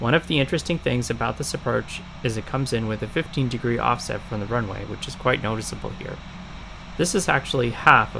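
A man talks very fast, with noticeable background noise in the recording. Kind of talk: commentary.

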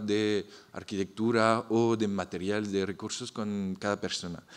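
A man speaks with a French accent at a fairly low pitch. His pace is fairly slow. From France. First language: French (speaking Spanish). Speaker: architect, festival founder. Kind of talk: panel presentation. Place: hall. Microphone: podium.

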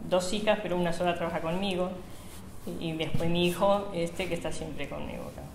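A woman with a Rioplatense accent, fairly low pitch and monotone, flat intonation, with audible room echo and light background noise. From Buenos Aires, Argentina. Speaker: bakery owner. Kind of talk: oral history interview. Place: shop.

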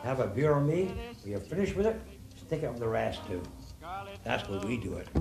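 Gruff and put on, this character voice moves at a fairly quick pace with very wide pitch swings. Long, frequent pauses break it up while music plays clearly behind it. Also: man, medium pitch for a man. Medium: audio drama. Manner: gruff, profane, blustering.

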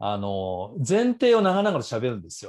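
The background is quiet. A man's pitch swings very widely as he talks. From Japan. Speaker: author and business school instructor; business school instructor. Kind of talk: seminar talk. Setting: video call. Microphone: earbuds.

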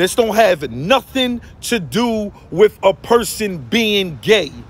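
The sound is dry with no echo as a man talks with ordinary pitch variation. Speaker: social commentator. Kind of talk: impassioned vlog rant. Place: street. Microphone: phone near.

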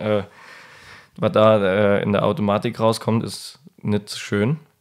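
A man talks at a medium pitch. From Mosel region, Germany. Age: 20s. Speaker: winemaker. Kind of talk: interview.

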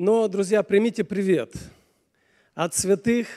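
With a dark, mellow tone and a high pitch, a man talks at a fairly slow pace. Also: ordinary pitch variation.

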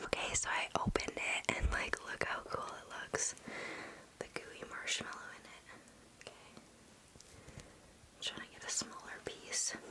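Whispering and soft-spoken, a woman talks at a fairly slow pace with big swings in loudness over light background noise. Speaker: ASMR creator. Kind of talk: casual eating review chat. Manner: soft close-mic ASMR whisper. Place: home room. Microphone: studio mic.

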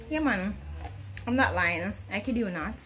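A woman speaks with faint music in the background. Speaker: home cooking vlogger. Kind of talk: casual vlog chat. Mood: cheerful, playful. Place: home room. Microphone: phone near.

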